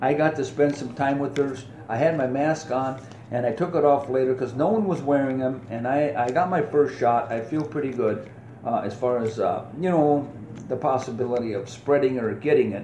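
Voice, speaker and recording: Speaking fairly quickly with an American accent, a man uses a medium pitch and ordinary pitch variation, with audible room echo and noticeable background noise. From United States. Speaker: podcast host, veteran. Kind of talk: casual podcast monologue. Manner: animated.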